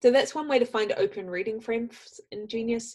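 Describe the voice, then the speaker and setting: A woman speaks with a New Zealand accent at a fairly quick pace. Her pitch is high, with ordinary variation. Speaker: software trainer. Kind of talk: tutorial. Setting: video call.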